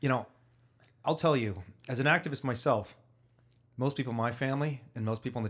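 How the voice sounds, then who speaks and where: In a very clean recording with a silent background, a man with a Midwestern accent speaks at a very fast pace with ordinary pitch variation. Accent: American, Midwest. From US, Chicago. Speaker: podcast host, activist. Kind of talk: interview, casual chat.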